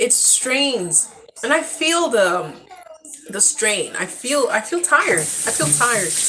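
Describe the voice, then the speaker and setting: A woman's voice amid noticeable background noise. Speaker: parent. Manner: quiet, does not project.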